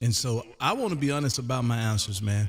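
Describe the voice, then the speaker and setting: Somewhat breathy, a man speaks at a moderate pace with an American accent. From US South (Canton, Mississippi). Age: 50s. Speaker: ham radio live streamer. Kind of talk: casual chat. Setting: radio room, live stream.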